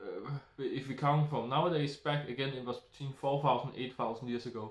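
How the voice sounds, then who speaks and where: A man with a Danish accent talks at a moderate pace in a somewhat breathy, fairly high-pitched voice. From Denmark. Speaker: YouTuber. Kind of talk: solo monologue. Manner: halting.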